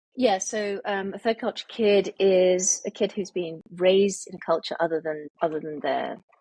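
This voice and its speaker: A woman with a British accent speaks at a moderate pace in a medium pitch with a dark, mellow tone, ordinary pitch variation and big swings in loudness, in a dry, close sound with no echo. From international childhood, boarding school in the UK. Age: 50s. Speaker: author. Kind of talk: interview. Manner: hesitant, many fillers.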